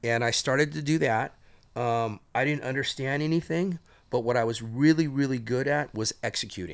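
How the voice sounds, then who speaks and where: In a very clean recording with a silent background, a man speaks at a moderate pace and medium pitch with ordinary pitch variation in an ordinary speaking voice. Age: 60s. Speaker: entrepreneur. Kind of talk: podcast interview.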